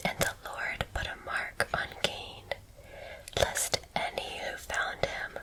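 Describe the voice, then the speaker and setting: A woman whispers at a very slow pace while noticeable background noise runs underneath. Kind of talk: scripture reading. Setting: relaxed porch with nature sounds. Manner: whispered, soft.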